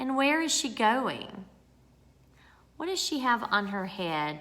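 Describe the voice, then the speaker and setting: Slowish speech comes from a woman with a Southern US accent. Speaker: speech therapist. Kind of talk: tutorial; reading aloud. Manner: animated.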